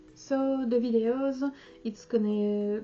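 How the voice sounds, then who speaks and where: A woman with a French accent and fairly even intonation, music in the background. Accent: French accent, non-native English. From France. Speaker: sewing vlogger. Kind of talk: casual channel introduction to camera. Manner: halting, many hesitations.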